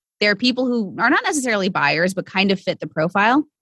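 With an unremarkable speaking voice, a woman talks at a moderate pace and fairly high pitch with lively intonation, the sound dry and close with no echo. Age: 30s. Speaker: sales and business coach. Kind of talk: casual interview chat.

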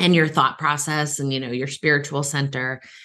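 A woman talks in an animated tone. She has an American accent. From Massachusetts (Cape Cod, Boston area). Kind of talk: interview.

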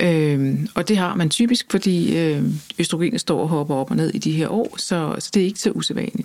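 An unremarkable speaking voice from a woman, moderate pace and ordinary pitch variation. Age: 50s. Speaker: journalist and author. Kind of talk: interview.

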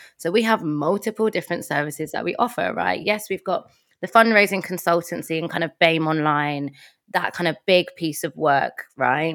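In a London accent, a woman talks at a moderate pace with an animated tone, a fairly low pitch and ordinary pitch variation, in a very clean recording with a silent background. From London, Tottenham. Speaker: nonprofit fundraising consultant. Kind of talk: casual interview chat. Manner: animated, laughs often.

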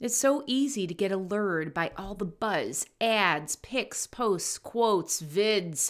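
Heard on a very clean recording with a silent background, a woman speaks at a medium pitch. She has lively intonation and an ordinary speaking voice. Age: 50s. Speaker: business and leadership coach. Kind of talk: solo podcast monologue.

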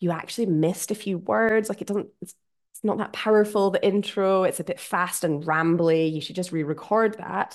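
A woman with a Scottish accent speaks at a medium pitch and a moderate pace. Her pitch varies in an ordinary way. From Scotland. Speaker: podcast host. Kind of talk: solo podcast monologue.

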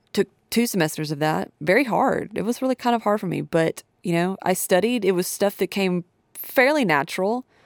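In a Southern US accent, a woman with a medium pitch and lively intonation talks at a moderate pace, the sound dry and close with no echo and the recording very clean against a silent background. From Tennessee, near Nashville. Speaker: podcast host, audio engineer. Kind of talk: casual solo podcast monologue.

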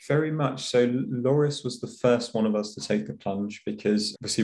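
At a fairly quick pace, a man talks in a dark, mellow tone. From UK. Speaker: startup founder, insurance professional. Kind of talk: interview chat.

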